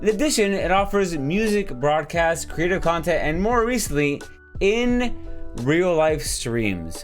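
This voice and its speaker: There is music in the background. A man talks at a fairly slow speed. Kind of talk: casual talk to camera with mock ASMR reading of historical facts. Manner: casual, conversational, joking.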